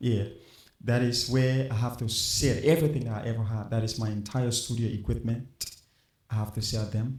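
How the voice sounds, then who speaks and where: A man with a Liberian accent speaks somewhat breathily at a medium pitch and moderate pace. His intonation is fairly even, and room echo is audible. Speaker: musician. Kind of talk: interview.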